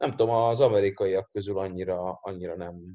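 Over a quiet background, a man talks at a fairly slow pace in a dark, mellow tone. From Hungary, Érd. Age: young. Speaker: strength coach. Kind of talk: casual chat.

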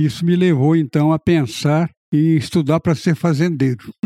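The man's voice has a dark, mellow tone and a fairly high pitch. The sound is dry and close, with no echo. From Goiás, Brazil (Rio Verde). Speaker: retired professor and former mayor. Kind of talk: interview reminiscing.

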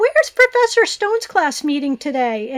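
A woman puts on a squeaky character voice at an extremely high pitch with very wide pitch swings. She keeps a moderate pace, and the sound is dry and close with no echo. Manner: disguised voice.

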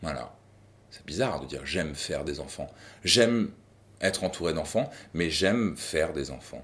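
This man's intonation is lively even as he keeps to a fairly slow pace. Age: 40s. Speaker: father. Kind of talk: testimony. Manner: halting.

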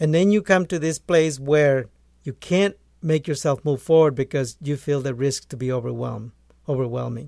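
A man speaks with a Spanish accent, fairly high in pitch with a dark, mellow tone and ordinary pitch variation. His pace is moderate, in a very clean recording with a silent background. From rural Guatemala. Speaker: agronomist and author. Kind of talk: interview.

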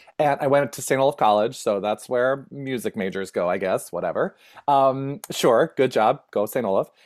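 In a normal speaking voice, a man with an American accent talks at medium pitch and a moderate pace, with ordinary pitch variation. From rural Minnesota, US Upper Midwest. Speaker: performer, educator, producer and playwright. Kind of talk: casual interview chat.

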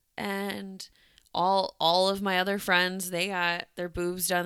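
The voice has a bright, sharp tone and fairly even intonation at a fairly slow pace. The recording is very clean, with a silent background. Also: woman. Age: 30s. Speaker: podcast co-host, realtor. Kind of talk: casual chat.

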